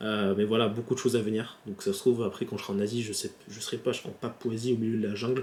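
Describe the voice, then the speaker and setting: Speaking very fast with hardly any pauses, a man at a medium pitch holds a monotone, flat intonation in a very clean recording with a silent background. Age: 20s. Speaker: YouTuber. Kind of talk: casual vlog. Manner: halting.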